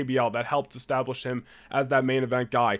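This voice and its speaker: At a fairly quick pace, the speaker uses an animated tone in a very clean recording with a silent background. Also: man. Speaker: wrestling podcast host. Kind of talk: solo podcast commentary. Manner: fast.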